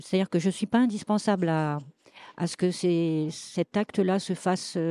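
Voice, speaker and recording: Dark, mellow tone from a woman with ordinary pitch variation, a dry, close sound with no echo, and a very clean recording over a silent background. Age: 70s. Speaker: association member. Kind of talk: interview testimony.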